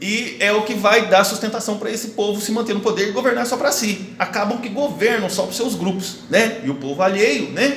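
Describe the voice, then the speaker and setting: A high-pitched man with a Brazilian accent, over noticeable background noise. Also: ordinary pitch variation. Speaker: school history teacher. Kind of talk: online lesson. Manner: fast; hesitant, many fillers.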